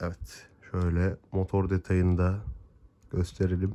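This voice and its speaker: Very slowly, a man speaks at a fairly low pitch with a dark, mellow tone. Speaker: diecast model car YouTuber. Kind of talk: unboxing review.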